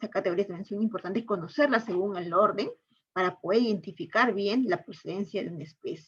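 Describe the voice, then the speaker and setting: A woman talks at a fairly quick pace, somewhat breathy, with big swings in loudness. Her medium pitch has ordinary variation. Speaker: teacher. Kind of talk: online lecture. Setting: online class. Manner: fast.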